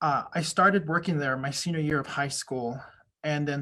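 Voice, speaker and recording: Recorded very cleanly against a silent background, a man with a fairly high pitch and a bright, sharp tone talks at a fairly quick pace. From Navajo Nation, New Mexico. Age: 30s. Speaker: Navajo silversmith. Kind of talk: interview.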